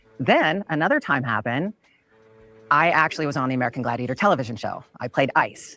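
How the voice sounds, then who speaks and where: Over music in the background, a woman talks at a very fast pace with lively intonation in a very deep, low pitch. The sound is dry and close, with no echo. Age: 60s. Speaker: former bodybuilder and TV gladiator. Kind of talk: panel discussion.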